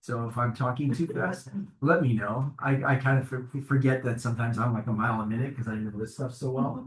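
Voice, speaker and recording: A man talks fairly quickly at medium pitch, his intonation fairly even. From Chicago, US Midwest. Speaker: mortgage lender. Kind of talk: presentation to realtors. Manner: fast.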